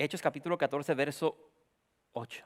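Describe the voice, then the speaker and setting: A man talks at a moderate pace in a fairly high pitch. The sound is dry and close, with no echo. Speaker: pastor. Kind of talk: sermon.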